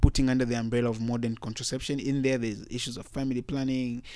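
With a plain, everyday voice, a man speaks at a fairly quick pace and a medium pitch on a very clean recording with a silent background. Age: young. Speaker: youth health organization representative. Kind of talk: interview. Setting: studio.

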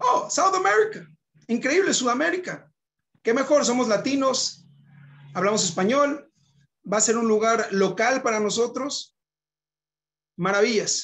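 Pitched extremely high, a man speaks at a fairly slow pace with lively intonation, very even loudness, and long, frequent pauses. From northern Mexico, Monterrey. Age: 30s. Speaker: rabbi. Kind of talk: personal testimony talk.

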